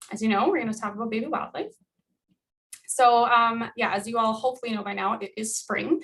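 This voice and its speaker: The pitch varies in an ordinary way. The pace is fairly quick. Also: woman, fairly high pitch for a woman. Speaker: wildlife educator. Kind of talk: educational presentation. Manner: fast.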